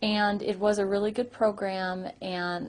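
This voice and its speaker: Over a quiet background, a woman speaks at a fairly slow pace in a somewhat breathy voice. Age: young. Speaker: person who stutters giving a testimonial. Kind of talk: testimony. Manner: stuttering with repetitions; hesitant, many fillers.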